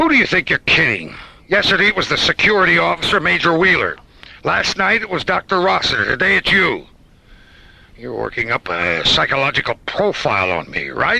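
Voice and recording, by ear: A man's put-on character voice, bright and sharp in tone, with vocal fry, a slightly husky edge, big pitch swings and long, frequent pauses. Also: fairly high pitch for a man, fairly quick pace.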